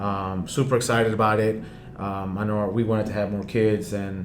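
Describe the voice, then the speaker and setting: In a room with audible echo, a man speaks at a fairly quick pace with a fairly low pitch and monotone, flat intonation. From Panama, then Houston, Texas. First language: Spanish. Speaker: real estate agent. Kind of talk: casual chat.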